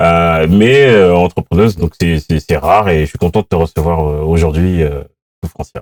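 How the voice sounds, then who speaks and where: Moderate pace and ordinary pitch variation, with a dry, close sound with no echo. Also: man, very deep, low pitch for a man. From France, Paris suburbs (Seine-Saint-Denis). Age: 40s. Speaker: podcast host. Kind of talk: interview.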